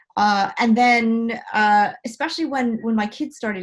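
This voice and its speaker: Somewhat breathy and fairly high in pitch, a woman speaks with an American accent. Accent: American accent shifted toward British. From United States. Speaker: blogger and marketing speaker. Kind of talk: talk Q&A. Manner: hesitant, many fillers.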